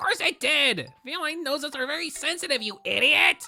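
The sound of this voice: A man's put-on character voice, extremely high-pitched, with vocal fry, a bright, sharp tone, lively intonation and a moderate pace, faint music in the background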